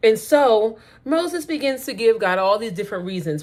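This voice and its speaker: A woman speaks loudly in an animated tone, her pitch swinging very widely. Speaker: faith vlogger. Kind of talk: casual faith talk to camera. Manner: loud, blunt.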